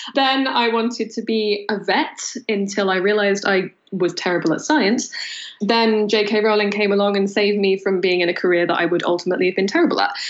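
Over noticeable background noise, a woman speaks at a very fast pace with very even loudness. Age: 20s. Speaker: novelist. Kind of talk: interview.

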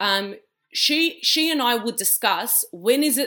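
A woman with an Australian accent speaks with a fairly high pitch, a bright, sharp tone and lively intonation. The recording is very clean, with a silent background. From Australia, Western Sydney. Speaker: community leader and sports founder. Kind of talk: interview conversation.

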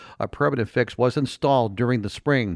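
A man speaks at a medium pitch with ordinary pitch variation in a normal speaking voice. The background is quiet. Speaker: radio news reporter. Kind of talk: newsreading. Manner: brisk, even, professional newscaster delivery.

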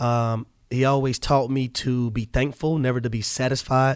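The speaker is a man with an American accent. His pitch sits in the medium range. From US South, Jonesboro, Georgia (south side of Atlanta). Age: 30s. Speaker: former football player and media analyst. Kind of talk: casual chat. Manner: animated.

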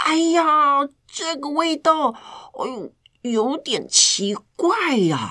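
In a put-on character voice, the speaker drawls at a very slow pace, high-pitched and nasal. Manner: disgusted, exaggerated.

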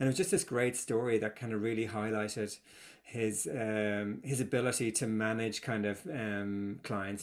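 Here is an ordinary speaking voice at a moderate pace. The intonation stays fairly even. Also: man. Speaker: storytelling consultant. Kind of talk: casual interview. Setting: remote interview across time zones.

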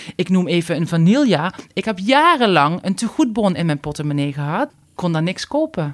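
A woman with a Limburg accent speaks at a moderate pace in a fairly low voice, her pitch swinging very widely, with hardly any pauses. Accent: Limburg accent, still clearly audible. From Limburg, Netherlands. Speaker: stylist and YouTuber. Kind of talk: casual interview chat.

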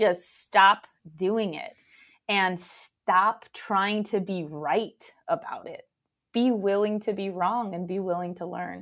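Speaking at a very slow pace with an American accent, a woman of medium pitch shows ordinary pitch variation and big swings in loudness. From Los Angeles and Mexico. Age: 30s. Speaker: entrepreneur. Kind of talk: interview. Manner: animated.

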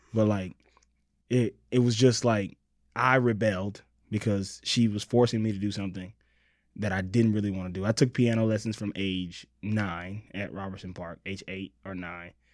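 Heard in a very clean recording with a silent background, a man with an ordinary speaking voice talks at a moderate pace in a fairly low pitch, his intonation fairly even but his loudness swinging widely. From Los Angeles, born in Mississippi. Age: 30s. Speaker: writer and comedic performer. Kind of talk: casual chat.

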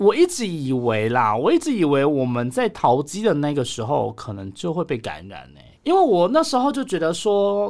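On a very clean recording with a silent background, a man talks at a moderate pace and a fairly high pitch, with hardly any pauses, very wide pitch swings and big swings in loudness. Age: middle-aged. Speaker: podcast host. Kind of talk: casual chat.

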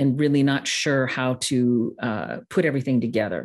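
Speaking at a moderate pace with a slight Midwestern accent, a woman has a very deep, low pitch and ordinary pitch variation, heard against a quiet background. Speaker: online course designer and consultant. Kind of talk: podcast interview.

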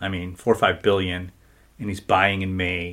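Very deep, low tones from a man, the recording very clean and the background silent. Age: 40s. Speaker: financial advisor. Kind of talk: casual chat.

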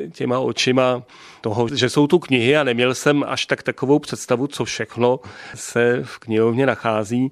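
An unremarkable speaking voice talks at a moderate pace. The sound is dry and close, with no echo. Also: man. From South Bohemia, České Budějovice. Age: 50s. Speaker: library director. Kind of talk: radio interview. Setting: director's office.

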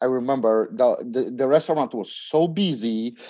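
Very clean recording, silent background, a man with a Polish accent at a fairly high pitch, fairly slow pace and ordinary pitch variation. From Poland. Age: 40s. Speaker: startup CEO in trucking. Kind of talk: casual interview. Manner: halting, hesitant with filler words.

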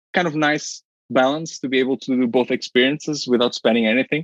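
The speaker talks with a Portuguese accent in a dry, close sound with no echo. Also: man. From Portugal, Porto. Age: 20s. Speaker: finance professional, podcast guest. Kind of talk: interview. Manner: repeats words, halting.

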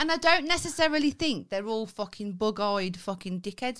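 A woman with a Birmingham accent speaks at a fairly quick pace in an animated tone, fairly high-pitched with very wide pitch swings. The recording is very clean with a silent background. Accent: Birmingham (Brummie). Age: 30s. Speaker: podcast co-host. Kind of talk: casual chat. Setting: studio.

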